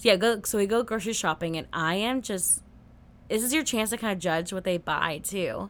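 A plain, everyday voice from a woman with an American accent, medium pitch, ordinary pitch variation and a fairly quick pace. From US Pacific Northwest (Seattle). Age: 30s. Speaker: podcast host. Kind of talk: casual chat.

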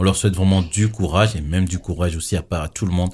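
Very deep and low, a man's somewhat breathy voice moves at a fairly quick pace with fairly even intonation. The recording is very clean, with a silent background. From Togo. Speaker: podcast host. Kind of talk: casual chat.

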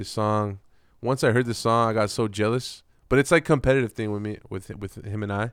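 Fairly quick delivery in a normal speaking voice, pitch variation ordinary. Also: man, medium pitch for a man, very clean recording, silent background. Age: 30s. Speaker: hip-hop artist. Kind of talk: casual chat.

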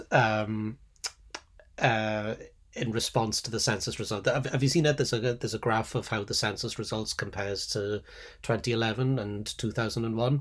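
In a very clean recording with a silent background, a man with an unremarkable speaking voice talks at a medium pitch and moderate pace, his intonation fairly even. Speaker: podcast co-host, sociologist. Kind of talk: casual academic chat.

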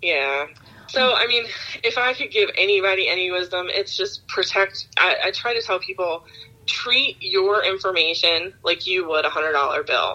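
A woman speaks at a moderate pace with an American accent. Noticeable background noise can be heard. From Baltimore, Maryland. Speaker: fraud investigator and podcaster. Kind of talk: casual interview chat. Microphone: dropped out, switched off speakerphone.

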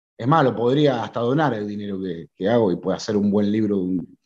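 This man speaks with an Argentine accent, a fairly low pitch and ordinary pitch variation. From Argentina. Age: 30s. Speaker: writer. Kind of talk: interview. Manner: halting.

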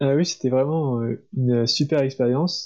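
With a dark, mellow tone, a man speaks at a fairly slow pace with ordinary pitch variation. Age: 20s. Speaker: engineering student. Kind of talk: casual interview.

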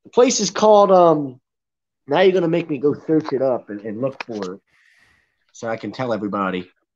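Against a quiet background, a man with a Philadelphia accent talks in an animated tone at a fairly quick pace and a fairly high pitch, with very wide pitch swings, big jumps in loudness, and long, frequent pauses. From Philadelphia area. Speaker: sports podcast co-host. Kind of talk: casual sports talk podcast. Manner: loud, projecting; animated, excitable.

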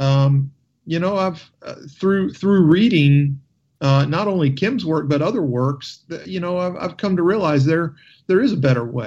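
A man talks in an ordinary speaking voice, fairly high in pitch, with lively intonation at a moderate pace. The background is quiet. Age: 40s. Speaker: radio talk show host. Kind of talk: radio talk show.

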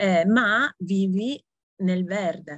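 A woman of medium pitch sounds somewhat breathy, the sound dry and close with no echo. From Italy. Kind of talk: interview.

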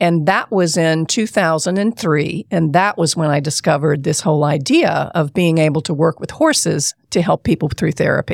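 A woman with an ordinary speaking voice and a fairly low pitch talks at a moderate pace with hardly any pauses and ordinary pitch variation, in a dry, close sound with no echo. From US South, South Carolina. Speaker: therapist and horse farm owner. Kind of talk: interview.

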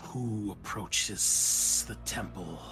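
A man puts on a character voice over clear background noise. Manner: imposing, questioning.

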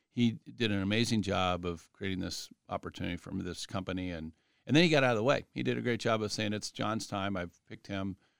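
A man's fairly low-pitched voice with a Midwestern American accent, very fast and lively, with hardly any pauses, in a dry, close sound with no echo. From Columbus, Ohio, US Midwest. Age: 40s. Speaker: company CEO. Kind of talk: interview. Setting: studio. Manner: halting, many fillers.

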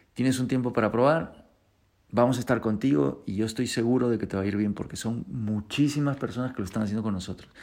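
Words pour out of this man very fast. His voice sits at a medium pitch. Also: ordinary pitch variation, very clean recording, silent background. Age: 40s. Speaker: guitar teacher and podcast host. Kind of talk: casual monologue.

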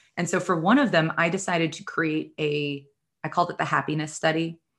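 A woman with an ordinary speaking voice and an American accent talks at a fairly quick pace in a fairly low pitch, with fairly even intonation. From New York City area. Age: 30s. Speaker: chronic illness patient advocate and podcaster. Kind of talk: interview.

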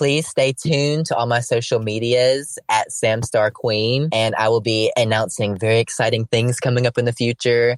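A man with a Southern US accent speaks at a moderate pace and medium pitch, with fairly even intonation and very even loudness. He leaves hardly any pauses, and the sound is dry and close with no echo. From Alabama, near Birmingham. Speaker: drag queen. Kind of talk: casual interview.

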